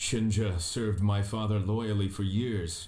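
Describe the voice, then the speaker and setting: Over faint music in the background, a man uses a put-on character voice. It sits fairly low in pitch, moves at a moderate pace, and stays monotone and flat. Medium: video game. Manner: terse, reserved.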